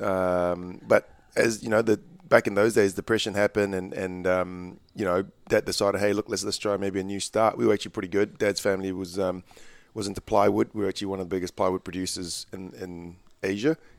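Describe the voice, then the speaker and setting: Recorded dry and close with no echo on a very clean recording with a silent background, a man talks at a very fast pace in a monotone, flat intonation. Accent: New Zealand. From Malaysia (Kuala Lumpur) then New Zealand. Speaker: basketball coach. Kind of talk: casual interview chat.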